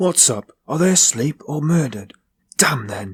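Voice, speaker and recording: In a put-on character voice with a fairly high pitch, a man sounds raspy and speaks at a moderate pace, his pitch swinging very widely. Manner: bawling.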